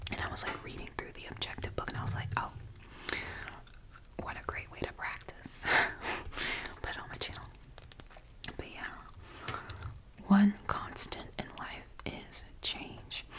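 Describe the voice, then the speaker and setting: A woman whispers at a fairly slow pace with long, frequent pauses and big swings in loudness. Noticeable background noise is present. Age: 20s. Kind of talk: ASMR rambling to camera. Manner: whispered, soft-spoken.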